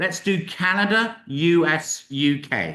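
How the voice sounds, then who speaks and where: A man speaks with a bright, sharp tone and lively intonation. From UK. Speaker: university representative. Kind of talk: webinar presentation. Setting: live-streamed webinar. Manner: casual, upbeat.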